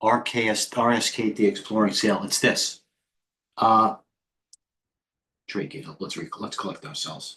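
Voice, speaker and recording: With a New York accent, a man speaks at a medium pitch with ordinary pitch variation, a bright, sharp tone, big swings in loudness, and long, frequent pauses. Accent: heavy New York. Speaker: stock trader and trading coach. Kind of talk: live trading stream commentary. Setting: live stream. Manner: fast; animated.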